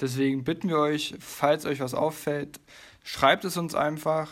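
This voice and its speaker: A man's fairly high voice in monotone, flat intonation at a fairly slow pace. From Leipzig, Saxony. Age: 20s. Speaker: podcast co-host, physiotherapist. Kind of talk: casual podcast chat.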